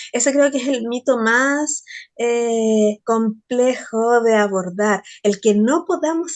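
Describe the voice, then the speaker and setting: This woman has a normal speaking voice. Her fairly high pitch moves with lively intonation. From Chile. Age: 40s. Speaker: poet and researcher. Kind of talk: interview conversation.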